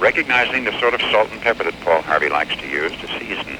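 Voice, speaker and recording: This man rushes along at a very fast pace while noticeable background noise plays underneath. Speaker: famous radio newscaster and broadcaster. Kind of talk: radio interview answer.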